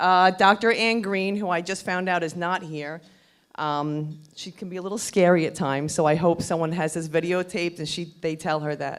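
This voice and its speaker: Speaking at a moderate pace, a woman has a fairly low pitch. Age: 50s. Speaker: breast cancer survivor. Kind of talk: testimony. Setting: stage with audience.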